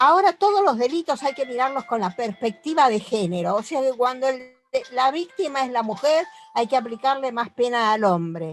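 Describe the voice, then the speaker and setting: A woman speaks at a high pitch, her voice swinging very widely up and down. Noticeable background noise is present. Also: moderate pace. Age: 70s. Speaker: lawyer. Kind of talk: panel discussion. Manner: animated.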